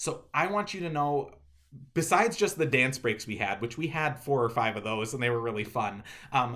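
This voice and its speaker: With lively intonation and a bright, sharp tone, a man of medium pitch speaks in a room with audible echo. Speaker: pastor. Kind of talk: video address to congregations. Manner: fast.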